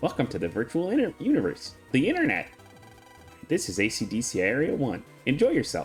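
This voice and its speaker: Over clear music in the background, a put-on character voice moves at a fairly quick pace broken by long, frequent pauses. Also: man, medium pitch for a man. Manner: silly, welcoming.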